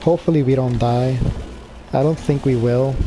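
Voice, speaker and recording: There is noticeable background noise as a man speaks at a medium pitch with fairly even intonation. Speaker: gaming video creator. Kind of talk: let's play commentary.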